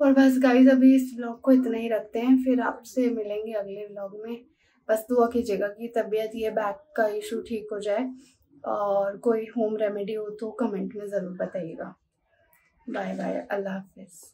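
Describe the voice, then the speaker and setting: A woman goes at a fairly slow pace, keeping her intonation fairly even. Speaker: home vlogger. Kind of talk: casual vlog chat.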